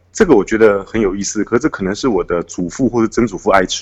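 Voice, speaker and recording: The man talks at a very fast pace and medium pitch. His intonation is lively. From Taiwan, Taipei. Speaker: author. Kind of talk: interview.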